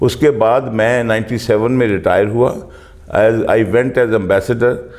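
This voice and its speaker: A man's voice of very even loudness and fairly even intonation, over noticeable background noise. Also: medium pitch for a man. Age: 70s. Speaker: retired naval officer and politician. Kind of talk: interview. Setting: Lahore. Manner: halting.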